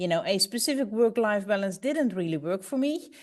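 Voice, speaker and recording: Lively intonation marks this speech, delivered with a Dutch accent. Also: woman. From Netherlands. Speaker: business executive, panelist. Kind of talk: panel discussion. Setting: webinar video call. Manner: halting.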